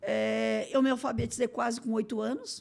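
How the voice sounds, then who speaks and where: Her fairly high voice carries vocal fry and ordinary pitch variation as this woman speaks. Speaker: municipal innovation secretary. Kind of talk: interview. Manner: very fast; run-on, without pauses.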